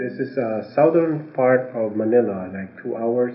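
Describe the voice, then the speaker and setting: With a Filipino accent, a man talks at a very slow pace and medium pitch, with ordinary pitch variation and audible room echo. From Philippines, Batangas. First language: Tagalog. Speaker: adult English learner. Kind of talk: self-introduction interview. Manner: halting, many fillers.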